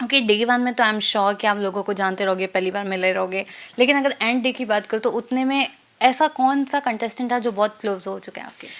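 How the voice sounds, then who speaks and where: At a moderate pace, a woman talks in an unremarkable speaking voice with a fairly high pitch and ordinary pitch variation. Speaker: entertainment interviewer. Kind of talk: interview questions.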